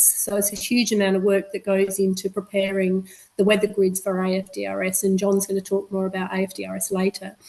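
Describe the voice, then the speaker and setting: With an Australian accent, a woman is talking. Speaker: meteorologist. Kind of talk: webinar presentation. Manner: fast.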